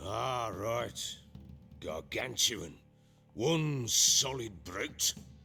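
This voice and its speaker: A man's put-on character voice, gruff and raspy, at a medium pitch and a very slow pace with long, frequent pauses. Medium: video game. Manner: gruff, blunt, cursing.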